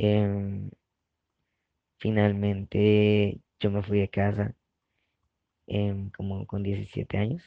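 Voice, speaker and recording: A man's fairly low, dark and mellow voice, monotone and flat, at a very slow pace, with a dry, close sound free of echo against a quiet background. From Colombia, Barranquilla (Caribbean coast). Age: 20s. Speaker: activist, collective founder. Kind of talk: personal testimony.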